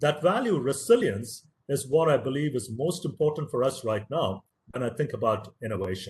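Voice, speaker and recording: A man with a Tamil accent, fairly high-pitched and somewhat breathy, at a moderate pace with lively intonation. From India, Tamil-speaking. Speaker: professor. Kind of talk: lecture.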